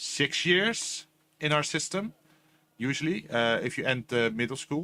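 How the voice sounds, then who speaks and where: Fairly high-pitched and bright, sharp in tone, a man speaks at a fairly slow pace with lively intonation. His recording is very clean against a silent background. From Netherlands. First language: Dutch. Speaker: vtuber gaming streamer. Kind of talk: gaming stream commentary. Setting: live stream. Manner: stutters a little, searches for words.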